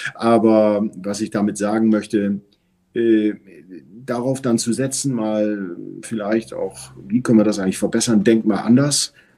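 A man's dark, mellow voice, fairly low in pitch and fairly slow, with ordinary pitch variation. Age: 50s. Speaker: telecom business executive. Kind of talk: interview.

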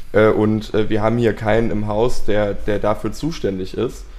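With fairly even intonation, the man keeps to a fairly slow pace. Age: 20s. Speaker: bassist and music manager. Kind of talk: casual chat. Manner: hesitant, many filler sounds.

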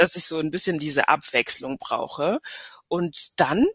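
Here is a woman with a plain, everyday voice, speaking at a fairly slow pace. The sound is dry and close with no echo. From Hesse and Paris, German-French upbringing. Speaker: tourism destination marketing manager. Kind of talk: casual interview.

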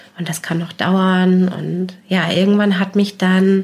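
A woman's medium-pitched voice at a very slow pace, fairly even in intonation, with noticeable background noise. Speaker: mother sharing experience of postnatal depression. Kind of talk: personal testimony in interview.

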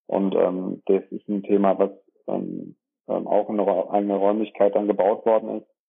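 This man speaks at a fairly low pitch. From Germany, Dorsten (Ruhr area / Münsterland border). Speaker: dentist and practice owner. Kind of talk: interview. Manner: hesitant with many filler sounds.

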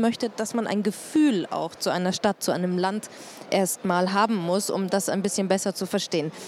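Noticeable background noise runs under the recording. A woman speaks at a medium pitch. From Germany, Munich. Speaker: podcast host and moderator. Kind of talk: live panel talk. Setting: trade fair stage with audience.

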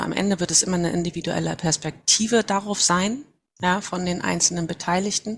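Somewhat breathy speech at a fairly quick pace comes through a very clean recording with a silent background. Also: woman. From northern Germany, Mecklenburg Baltic coast near Wismar. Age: 40s. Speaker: HR manager. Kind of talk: interview.

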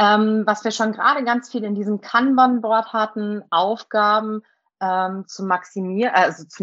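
A fairly slow pace, ordinary pitch variation, and a quiet background. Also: woman. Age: 30s. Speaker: primary school teacher and teacher trainer. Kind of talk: interview. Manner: hesitant, many filler sounds.

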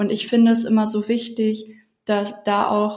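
Her voice is medium in pitch and somewhat breathy. The woman speaks very slowly, with a flat, monotone delivery. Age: 20s. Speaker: self-love coach. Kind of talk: casual interview.

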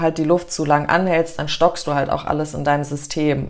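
A woman speaks in a very deep, low voice. Her intonation stays flat and monotone. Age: 30s. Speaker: breathwork instructor. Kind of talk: casual interview chat; guided breathing exercise. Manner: calm.

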